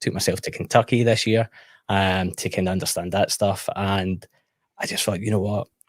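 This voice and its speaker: A man speaks with a Scottish accent at a very deep, low pitch, in monotone, flat intonation. The recording is very clean with a silent background. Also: dry, close sound with no echo. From Scotland. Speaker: whisky YouTuber. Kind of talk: casual chat.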